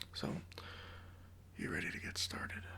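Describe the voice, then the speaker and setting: A man whispers in a relaxed tone over noticeable background noise. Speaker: tattoo artist (roleplay). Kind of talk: ASMR roleplay, personal attention. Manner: soft-spoken, friendly, relaxed.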